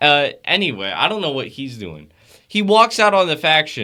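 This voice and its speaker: A man speaks in a fairly high voice with very wide pitch swings. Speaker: wrestling podcast co-host. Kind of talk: casual chat.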